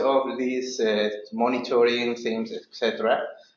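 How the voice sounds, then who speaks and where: A man talks with a non-native accent. His pitch is medium and his pace moderate. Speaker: water and sanitation specialist. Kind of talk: presentation. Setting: seminar room with audience and online viewers. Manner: halting.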